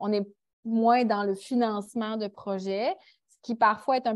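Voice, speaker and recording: A woman with a Quebec accent at a fairly high pitch, very slow pace and fairly even intonation. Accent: Québécois. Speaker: international volunteer. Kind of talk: panel discussion.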